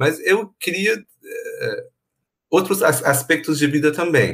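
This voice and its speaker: The man's voice comes across as somewhat breathy. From Iran. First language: Persian (speaking Portuguese). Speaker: university professor. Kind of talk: casual chat.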